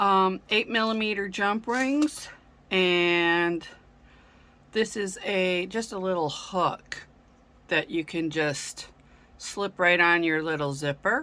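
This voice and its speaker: Bright and sharp in tone, a woman speaks at a medium pitch. She goes very slowly, leaving long, frequent pauses. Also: lively intonation. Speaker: craft tutorial creator. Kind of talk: tutorial. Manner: casual with many fillers.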